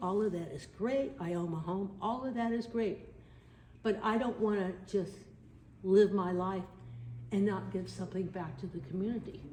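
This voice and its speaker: A somewhat breathy woman with an American accent talks at a moderate pace in a medium pitch. Room echo is audible. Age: 70s. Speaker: army veteran and video documentarian. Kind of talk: testimony. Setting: studio.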